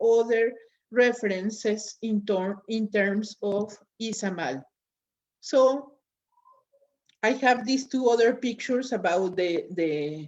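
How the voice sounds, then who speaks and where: At a very slow pace with long, frequent pauses, the speaker uses lively intonation and has a Spanish accent. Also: woman. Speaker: lecturer. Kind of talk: lecture. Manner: halting, with fillers.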